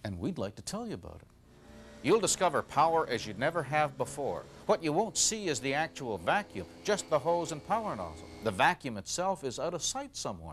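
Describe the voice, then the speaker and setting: A man's loudness swings widely as he talks at a fairly quick pace. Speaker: infomercial host. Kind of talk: infomercial presentation.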